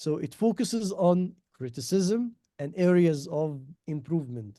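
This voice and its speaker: The man's lively intonation comes through in a dry, close sound with no echo. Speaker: education consultant presenter. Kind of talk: online workshop presentation. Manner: halting, many fillers.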